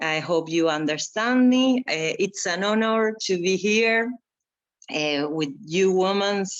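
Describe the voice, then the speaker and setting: A woman speaks at a medium pitch with a Spanish accent. Her intonation is lively and her pace very slow. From Argentina. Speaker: environmental activist and performer. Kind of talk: panel talk. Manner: slow, halting.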